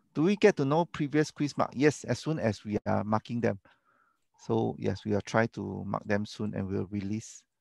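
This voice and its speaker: Over a quiet background, a man speaks at a moderate pace in a fairly low voice with lively intonation, the sound dry and close with no echo. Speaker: university lecturer. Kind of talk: online lecture Q&A. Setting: video call. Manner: mumbling; casual, halting.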